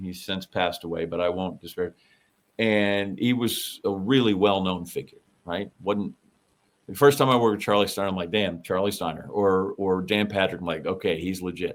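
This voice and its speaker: At a moderate pace, a man with a normal speaking voice and a fairly low pitch talks with ordinary pitch variation. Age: 60s. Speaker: podcast co-host. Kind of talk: casual chat.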